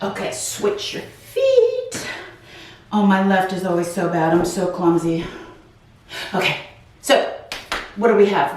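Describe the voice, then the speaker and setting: Audible room echo and clear background noise surround the recording. A woman speaks at a fairly slow pace. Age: 50s. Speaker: wellness channel host, retired office worker. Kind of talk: guided stretching with reflective talk. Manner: casual, conversational with fillers.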